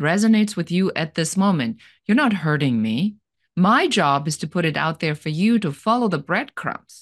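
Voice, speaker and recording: Against a quiet background, a woman speaks at a moderate pace with very wide pitch swings. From Germany. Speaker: business coach and entrepreneur. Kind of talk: interview.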